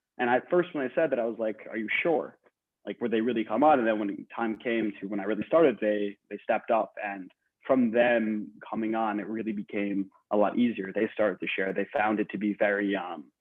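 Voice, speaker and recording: This man has a plain, everyday voice with an American accent. His pitch sits fairly low with ordinary variation, and he speaks at a fairly quick pace. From New Jersey. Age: 20s. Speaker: podcaster. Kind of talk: panel interview. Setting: video call.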